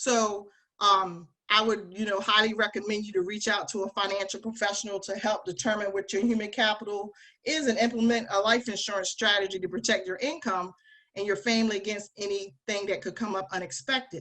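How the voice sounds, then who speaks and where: Her tone bright and sharp, a woman with an American accent speaks with fairly even intonation. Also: medium pitch for a woman, fairly quick pace. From Delaware, US. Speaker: financial advisor. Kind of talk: webinar presentation. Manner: fast.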